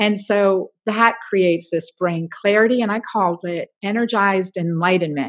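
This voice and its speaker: A woman's medium-pitched, normal speaking voice at a moderate pace, with hardly any pauses and ordinary pitch variation. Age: 50s. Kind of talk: interview.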